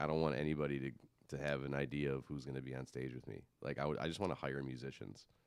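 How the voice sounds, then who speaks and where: A man speaks very fast with hardly any pauses, his very deep voice carrying vocal fry. His intonation stays monotone and flat. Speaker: musician and audio engineer. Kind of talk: casual chat.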